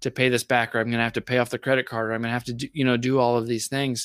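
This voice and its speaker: Dry and close with no echo, the sound comes from a very clean recording against a silent background. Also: man. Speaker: podcaster and card collector. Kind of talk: casual chat.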